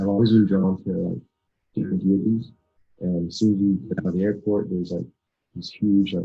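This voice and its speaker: Soft-spoken and fairly low-pitched, a man speaks with ordinary pitch variation and long, frequent pauses. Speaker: spiritual festival organizer, yogi. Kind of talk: interview answer.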